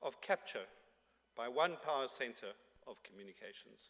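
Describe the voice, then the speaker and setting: Moderate pace with very wide pitch swings. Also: man. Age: 60s. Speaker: conference speaker. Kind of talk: conference speech. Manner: formal.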